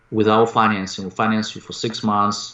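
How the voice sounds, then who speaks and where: A man talks in a flat, monotone way with a fairly low pitch. He speaks with a Russian accent. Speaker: real estate investor and coach. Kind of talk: interview. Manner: halting.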